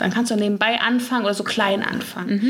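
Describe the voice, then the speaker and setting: A woman is talking. There is noticeable background noise and audible room echo. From Ruhr area, Germany (Gelsenkirchen). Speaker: skin coach, beautician. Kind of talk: interview. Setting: in person.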